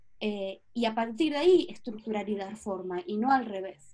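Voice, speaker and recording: A woman speaks at a fairly slow pace in a fairly high pitch, her dark, mellow tone somewhat breathy, with ordinary pitch variation. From Patagonia, Argentina. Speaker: astrologer and project leader. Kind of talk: interview conversation.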